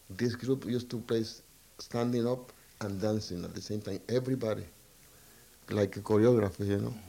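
This man has a fairly low voice with a dark, mellow tone and a Spanish accent. His intonation stays fairly even, broken by long, frequent pauses. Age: 60s. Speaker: trumpet player. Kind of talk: interview.

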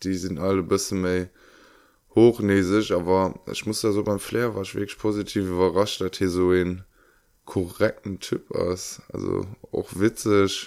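A man speaks at a fairly low pitch and fairly slow pace in a monotone, flat intonation. The recording is very clean, the background silent. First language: Luxembourgish (speaking German). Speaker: podcast co-host. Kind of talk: casual chat.

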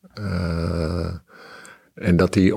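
In a very clean recording with a silent background, a man's very deep, low voice holds a fairly even intonation. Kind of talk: interview.

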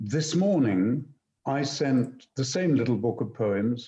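With a dark, mellow tone, a man speaks somewhat breathily at a medium pitch and a fairly slow pace. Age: 70s. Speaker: classical actor and voice actor. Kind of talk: casual chat. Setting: video call.

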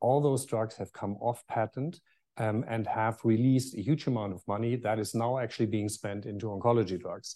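A man at medium pitch with a German accent, fairly even intonation and a fairly quick pace. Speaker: pharmaceutical executive. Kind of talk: panel talk. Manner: hesitant, many fillers.

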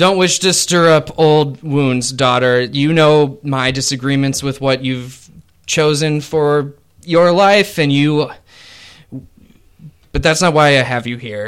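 Putting on a character voice, a man speaks at a fairly slow pace. The voice is booming with a fairly high pitch. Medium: actual play. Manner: haughty, blunt.

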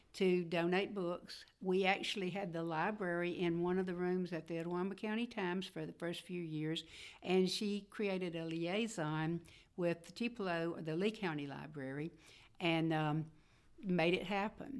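With a Mississippi accent, a woman speaks at a moderate pace in a fairly low voice with ordinary pitch variation. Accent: Southern US (Mississippi). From northeast Mississippi, US South. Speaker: retired newspaper executive and community leader. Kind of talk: interview.

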